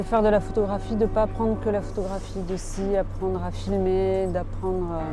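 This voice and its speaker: A woman talks at a moderate tempo, barely pausing, while music plays behind her. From France / Argentina. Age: 40s. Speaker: photojournalist. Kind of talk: interview.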